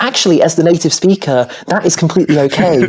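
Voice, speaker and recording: A woman talks at a fairly quick pace in a fairly low pitch. Noticeable background noise runs behind her. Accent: British. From Britain. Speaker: software engineer. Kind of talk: casual chat.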